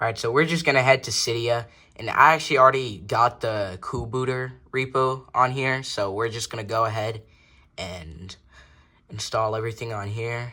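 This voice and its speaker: On a very clean recording with a silent background, a man with a bright, sharp tone speaks at a medium pitch and a moderate pace, with ordinary pitch variation. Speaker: tech YouTuber. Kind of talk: tutorial. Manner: mumbling; casual.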